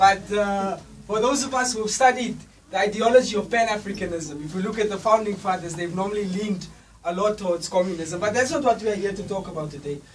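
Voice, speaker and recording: The speech runs at a very fast pace, with noticeable background noise. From Africa. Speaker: student association representative. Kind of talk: public speech.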